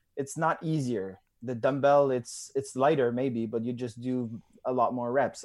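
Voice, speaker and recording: A man talks with a Quebec accent at a medium pitch. The recording is very clean, with a silent background. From Quebec, Canada (Drummondville). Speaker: CrossFit athlete. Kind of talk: casual interview. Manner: halting, many fillers.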